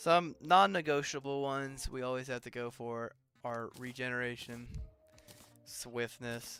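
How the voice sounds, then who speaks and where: A soft-spoken man talks at a fairly slow pace with medium pitch and ordinary pitch variation. His loudness swings widely, and music plays in the background. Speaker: gaming streamer. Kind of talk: live gameplay stream. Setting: live stream. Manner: casual, filler words. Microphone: quiet mic level on streaming software.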